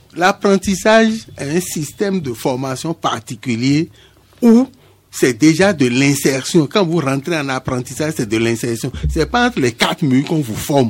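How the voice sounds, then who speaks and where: Fairly high-pitched and fairly slow, a man speaks with very wide pitch swings. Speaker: craft chamber official. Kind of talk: radio interview.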